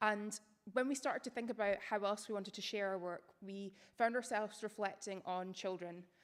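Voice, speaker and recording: With a Scottish accent, a woman speaks at a fairly quick pace, her medium pitch carried by fairly even intonation. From Scotland, Edinburgh. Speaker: academic writer and researcher. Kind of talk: public lecture.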